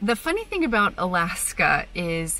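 Faint music in the background and a dry sound with no echo. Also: woman. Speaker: travel vlogger. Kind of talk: casual vlog chat. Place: car. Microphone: phone near.

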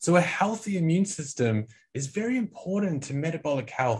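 A man with an Australian accent talks at a fairly quick pace with very wide pitch swings against a quiet background. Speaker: nutrition scientist; presenter. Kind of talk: product training lecture. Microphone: video call.

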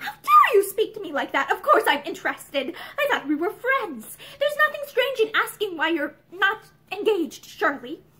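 In a put-on character voice, a woman speaks at an extremely high pitch with very wide pitch swings, a bright, sharp tone, a moderate pace and few pauses.

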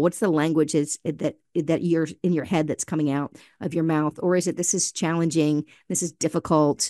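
A woman's fairly low, dark, mellow voice with fairly even intonation, in a dry sound with no echo and a quiet background. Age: 50s. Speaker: author and speaker; speaker. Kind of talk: casual chat. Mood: warm, encouraging. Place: home room. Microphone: studio mic.

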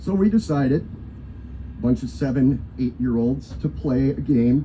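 A man with an American accent talks at a moderate pace in a dark, mellow tone with vocal fry and lively intonation. Long, frequent pauses break up his speech over light background noise. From Wisconsin, Johnson Creek; Wisconsin. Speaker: pastor. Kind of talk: invocation sermon. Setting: live event with audience.

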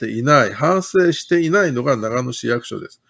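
The background is quiet as a man talks at a moderate pace. His intonation is lively. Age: 50s. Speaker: city councillor. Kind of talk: political livestream commentary. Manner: casual, chatty. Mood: critical, indignant. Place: home room. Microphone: webcam.

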